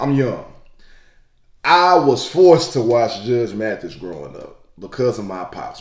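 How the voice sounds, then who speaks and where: In a room with audible echo, a man with a medium pitch speaks in an animated tone with very wide pitch swings. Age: 20s. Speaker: YouTube reaction creator. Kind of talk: casual reaction commentary.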